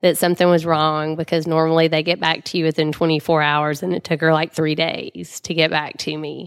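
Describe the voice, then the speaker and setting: With a Southern US accent and a very deep, low pitch, a woman speaks at a fairly quick pace with hardly any pauses and monotone, flat intonation on a very clean recording with a silent background. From Mississippi, Jackson. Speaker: cancer survivor. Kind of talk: interview testimony. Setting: studio.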